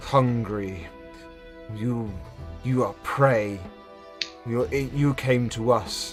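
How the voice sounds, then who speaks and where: Putting on a guttural character voice at a medium pitch, a man speaks at a very slow pace with clear music in the background. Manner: menacing.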